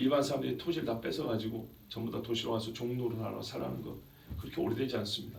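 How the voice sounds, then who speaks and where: Using a medium pitch with vocal fry, a man talks at a fairly quick pace with lively intonation. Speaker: pastor giving a sermon. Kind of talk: sermon preached to a congregation.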